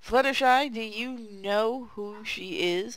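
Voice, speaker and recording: A woman performs a put-on character voice with a fairly high pitch. She delivers it at a fairly slow pace. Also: ordinary pitch variation. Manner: hissing.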